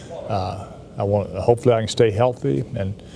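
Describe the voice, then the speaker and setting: Over noticeable background noise, a man speaks with a fairly low pitch and ordinary pitch variation. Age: 70s. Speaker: university athletics director. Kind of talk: interview. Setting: sit-down TV interview. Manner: halting.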